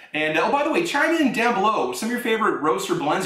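The speaker is a man. Audible room echo surrounds his voice. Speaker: coffee reviewer. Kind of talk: casual vlog chat. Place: kitchen.

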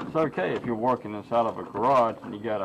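With noticeable background noise behind him, a man speaks at a moderate pace with ordinary pitch variation. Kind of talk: tutorial. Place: open country. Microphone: phone near.

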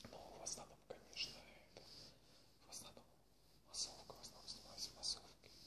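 Male whispering at a moderate pace. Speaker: extra and bit-part film actor who also works regular jobs. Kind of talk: casual talk to camera. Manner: whispered. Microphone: webcam.

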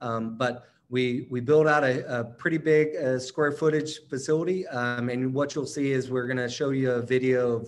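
A man speaks at a moderate pace with an American accent in a monotone, flat delivery over light background noise. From North Carolina, near Charlotte; North Carolina. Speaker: operations executive. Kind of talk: presentation. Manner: halting. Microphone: webcam.

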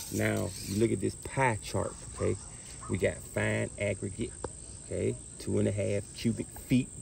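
Light noise sits behind a man who talks at a moderate speed. His voice sounds dry, without any echo. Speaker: carpentry instructor. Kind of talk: tutorial. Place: garden.

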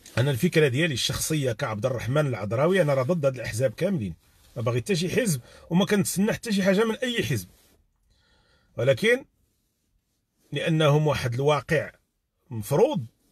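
A somewhat breathy man with a fairly high pitch and very wide pitch swings talks at a moderate pace, leaving long, frequent pauses, in a dry sound with no echo. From Morocco. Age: 40s. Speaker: YouTube live streamer. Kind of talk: live stream commentary. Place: car. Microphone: phone near.

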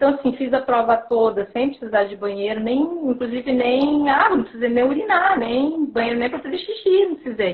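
A woman's high-pitched voice at a moderate pace, with lively intonation and hardly any pauses. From Paraná, Brazil. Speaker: sports nutritionist and marathon runner; guest. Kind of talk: live video interview. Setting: video call from home. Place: home room. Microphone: video call.

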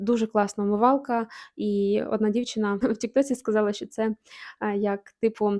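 A woman speaks at a moderate pace with a dark, mellow tone. The sound is dry and close with no echo, and the recording is very clean with a silent background. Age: 30s. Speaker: beauty vlogger. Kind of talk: product review vlog. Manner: animated.

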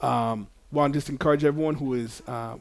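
With an American accent, a man talks at a fairly quick pace in an unremarkable speaking voice, his pitch fairly high, on a very clean recording with a silent background. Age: 30s. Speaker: podcast host interviewing political candidates. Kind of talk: channel promotion; casual interview.

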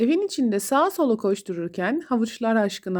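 With lively intonation, the clip is plain reading aloud.

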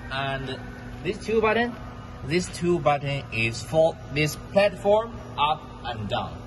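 A man's very slow speech, with long, frequent pauses and noticeable background noise. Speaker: machinery seller. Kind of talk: tutorial. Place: factory. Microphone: phone near.

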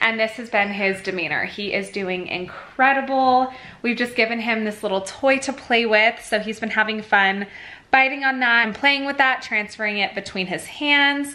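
With ordinary pitch variation, a woman talks at a moderate speed. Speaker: parent vlogger. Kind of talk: casual vlog chat. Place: home room. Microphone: phone near.

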